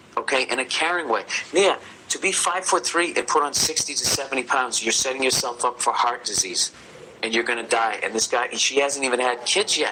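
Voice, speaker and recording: The speaker has an American accent and a fairly quick pace, with ordinary pitch variation and very even loudness. Noticeable background noise sits behind the voice. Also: man, medium pitch for a man. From United States. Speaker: comedian. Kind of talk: podcast advice segment. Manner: profane, ranting.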